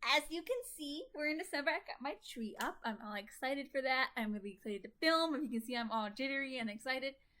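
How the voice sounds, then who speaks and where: A woman's high, raised and projected voice with an American accent, lively intonation, a very fast pace and hardly any pauses. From Minnesota. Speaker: vlogger. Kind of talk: casual vlog chat. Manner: many filler words.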